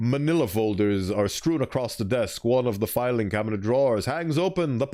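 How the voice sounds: Lively intonation in a natural reading voice.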